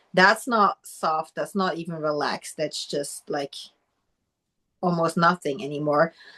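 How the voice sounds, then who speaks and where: A woman with a non-native accent speaks at a fairly slow pace in a fairly low pitch, her tone bright and sharp with ordinary pitch variation, the sound dry and close with no echo. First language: not English. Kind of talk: casual chat.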